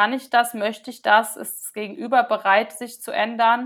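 Speech unfolds at a moderate pace. The very clean recording has a silent background. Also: woman. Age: 20s. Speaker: social work student sharing trauma story. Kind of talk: testimony. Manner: hesitant, many filler sounds.

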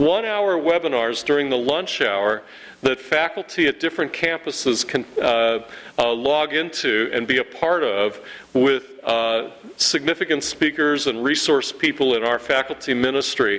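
A man with an American accent speaks at a moderate pace in a normal speaking voice, with fairly high pitch, ordinary pitch variation and very even loudness. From Ohio, Youngstown area. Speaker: campus ministry leader. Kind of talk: church presentation with slides. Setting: church.

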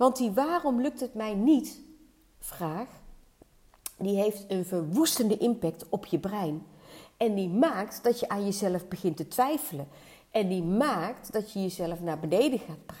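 Her tone dark and mellow, a woman speaks somewhat breathily at medium pitch and a fairly slow pace, with lively intonation. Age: 50s. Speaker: weight-loss and hormone coach. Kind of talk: solo podcast monologue.

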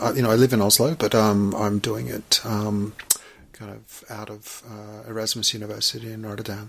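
A man with an Australian accent talks at a moderate pace and a fairly low pitch, his loudness swinging widely. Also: fairly even intonation. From Australia, Melbourne. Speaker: artist. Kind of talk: casual chat. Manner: halting.

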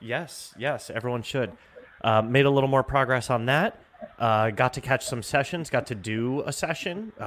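A man speaks at a medium pitch with noticeable background noise around him. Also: ordinary pitch variation, moderate pace. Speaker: podcast host. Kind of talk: casual chat. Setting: conference.

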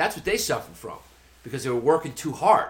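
This is a man's voice. He speaks with a New York accent. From Brooklyn, New York. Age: 40s. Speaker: comedian. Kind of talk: casual chat.

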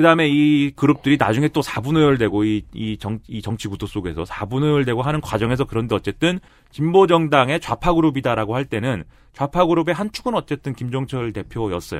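A man speaks in an unremarkable speaking voice. His intonation is lively. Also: medium pitch for a man. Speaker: political commentator. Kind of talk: casual chat.

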